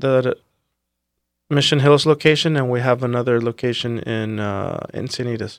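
With an American accent, a man speaks in a plain, everyday voice at a moderate pace, medium pitch, and fairly even intonation. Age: 30s. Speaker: restaurateur. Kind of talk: casual interview chat.

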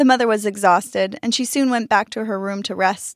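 Ordinary pitch variation in plain reading aloud

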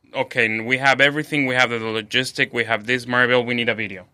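With a Spanish accent, a man speaks at a medium pitch in a bright, sharp tone with fairly even intonation, on a very clean recording with a silent background. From Mexico City. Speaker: chef. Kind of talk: interview. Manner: halting, many fillers.

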